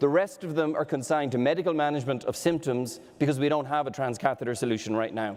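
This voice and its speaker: Spoken in an Irish accent at a very fast pace, with hardly any pauses. Pitch variation is ordinary. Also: man, fairly high pitch for a man. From Ireland. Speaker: medtech startup executive. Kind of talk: startup pitch presentation.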